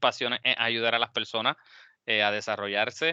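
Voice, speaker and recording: The voice has a bright, sharp tone, and the sound is dry and close with no echo. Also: man, quiet background. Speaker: engineering alumnus speaker. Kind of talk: webinar talk closing remarks.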